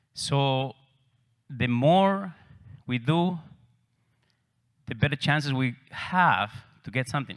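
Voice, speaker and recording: A man with an Argentine accent, fairly high in pitch, with ordinary pitch variation, in a very clean recording with a silent background. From Argentina, Cordoba. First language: Spanish. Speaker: real estate agent. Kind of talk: conference talk.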